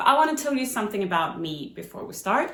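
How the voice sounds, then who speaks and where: A woman of medium pitch talks at a fairly quick pace. There is audible room echo. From Sweden. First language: Swedish. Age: 30s. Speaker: book vlogger. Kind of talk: casual vlog talk.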